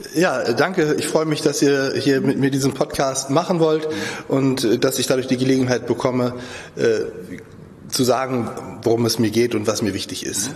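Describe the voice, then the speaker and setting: Against noticeable background noise, a man talks at a moderate pace with long, frequent pauses. His medium pitch shows ordinary variation. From Lübeck. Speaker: portrait sculptor. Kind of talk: interview.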